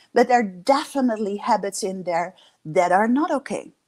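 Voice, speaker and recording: In a Dutch accent, the voice moves at a moderate pace with very wide pitch swings. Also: woman. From Netherlands. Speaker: leadership coach. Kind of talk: interview.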